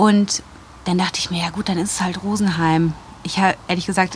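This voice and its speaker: A woman talks at a medium pitch. Behind her, background noise is noticeable. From Germany, Wuppertal (North Rhine-Westphalia). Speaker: journalist and podcaster. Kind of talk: interview, casual chat.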